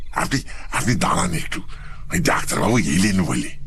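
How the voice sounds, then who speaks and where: A man performs a put-on character voice at a moderate pace. Background noise is clearly present. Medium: audio drama. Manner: sly, teasing, earthy.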